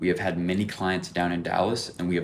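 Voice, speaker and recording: Audible room echo surrounds a man with a very deep, low pitch who speaks at a fairly quick pace in an animated tone. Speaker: window cleaning entrepreneur, vlogger. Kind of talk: vlog commentary. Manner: fast; casual, animated.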